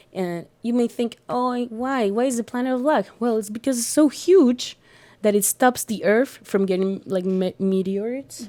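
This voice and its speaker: In a Spanish accent, a woman speaks at a moderate pace with a fairly high pitch and a dark, mellow tone, on a very clean recording with a silent background. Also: ordinary pitch variation. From Colombia. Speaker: art student and astrology enthusiast. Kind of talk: casual podcast conversation. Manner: halting with many fillers.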